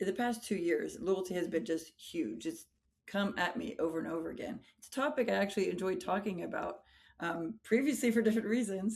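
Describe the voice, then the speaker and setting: With lively intonation and big swings in loudness, a woman talks with vocal fry. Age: 40s. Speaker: high school English teacher and pastor. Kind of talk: interview conversation.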